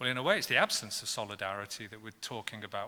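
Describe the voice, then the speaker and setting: In a British accent, a man talks with a bright, sharp tone. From Britain. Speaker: professor and panel chair. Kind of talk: panel discussion introduction. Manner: halting, with many fillers and restarts.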